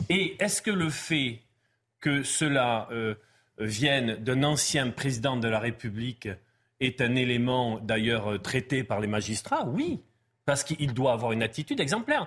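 Recorded very cleanly against a silent background, a man speaks at a fairly slow pace. His loudness stays very even, with ordinary pitch variation. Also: medium pitch for a man. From France, Pau. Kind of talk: panel discussion. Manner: halting.

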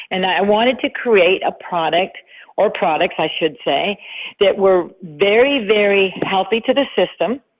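This woman has a plain, everyday voice at a medium pitch. She talks fairly slowly with ordinary pitch variation. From western Canada (Vancouver). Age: 60s. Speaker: makeup artist and beauty brand founder. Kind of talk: interview. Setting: phone call.

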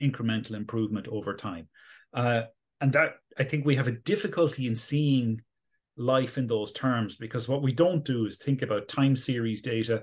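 A man with an Irish accent speaks at a moderate pace over a quiet background. His medium pitch varies in an ordinary way. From Galway, west of Ireland. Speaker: neuroscience professor. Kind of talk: interview. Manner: hesitant, many fillers.

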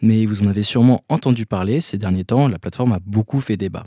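Dark and mellow in tone, the voice moves at a moderate pace with ordinary pitch variation, recorded very cleanly with a dry, close sound, no echo and a silent background. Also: man. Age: 20s. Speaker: communication student. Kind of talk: scripted narration. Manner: formal.

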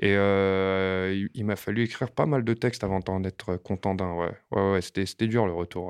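A man's fairly low voice at a very slow pace, with ordinary pitch variation, dry and close with no echo against a quiet background. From France, Montreuil (Paris suburbs). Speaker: rapper. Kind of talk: casual interview. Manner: hesitant with frequent fillers and repetitions.

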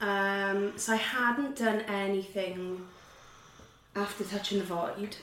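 A woman with a Welsh accent speaks at a very slow pace in a medium-pitched voice. Her intonation is fairly even, and background noise is noticeable. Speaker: actor. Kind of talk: casual interview chat.

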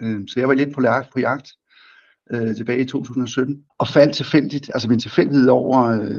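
Against a quiet background, a man talks at a moderate pace. His voice is an unremarkable speaking voice at medium pitch. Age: 50s. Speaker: company chief executive. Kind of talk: business interview.

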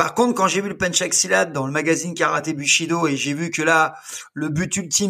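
Recorded very cleanly against a silent background, a man talks at a moderate pace in a bright, sharp tone at a high pitch, with ordinary pitch variation. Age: 60s. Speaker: self-defense instructor. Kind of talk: casual interview.

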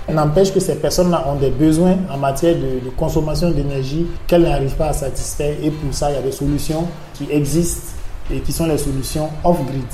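The intonation stays fairly even. Audible room echo and noticeable background noise fill the recording. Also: man, fairly high pitch for a man. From Burkina Faso. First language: Mooré (speaking French). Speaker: NGO manager, renewable energy expert. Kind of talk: interview. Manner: hesitant, with fillers.

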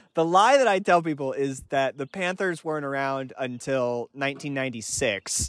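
In an unremarkable speaking voice, a man talks fairly high at a moderate pace, with ordinary pitch variation and hardly any pauses. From North Carolina, US South. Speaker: podcast guest, sports fan. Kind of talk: casual comedic chat.

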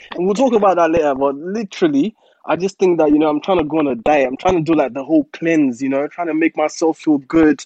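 A man's fairly high voice in a calm tone, fairly quick, with ordinary pitch variation. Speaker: podcast co-host. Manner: calm, collected, even delivery.

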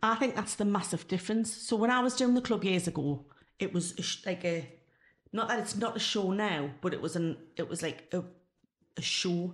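On a very clean recording with a silent background, a woman speaks at a moderate pace with a medium pitch and a somewhat breathy voice. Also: ordinary pitch variation. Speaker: former club singer, ex-tax worker. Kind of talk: casual interview.

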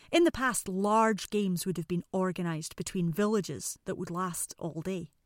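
A woman's medium-pitched voice with an Edinburgh accent, ordinary pitch variation and a moderate pace, in a very clean recording with a silent background and a dry, close sound with no echo. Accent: Scottish (Edinburgh). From Scotland, Edinburgh. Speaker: podcast host. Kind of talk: scripted narration.

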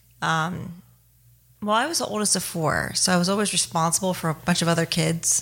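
Vocal fry marks a woman's fairly low-pitched voice as she speaks at a fairly quick pace with ordinary pitch variation and very even loudness, on a very clean recording with a silent background. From Ohio, US Midwest. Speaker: army veteran and comedian. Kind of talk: casual interview. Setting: studio.

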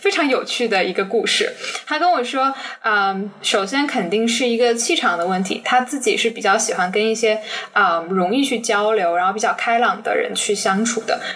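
Against noticeable background noise, a woman with a fairly high pitch speaks with lively intonation. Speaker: business graduate student, former intern. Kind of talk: interview. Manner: fast.

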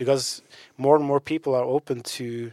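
A man with a Norwegian accent speaks at medium pitch in a monotone, flat manner. The sound is dry and close with no echo, and the recording is very clean with a silent background. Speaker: podcast co-host. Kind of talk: casual chat.

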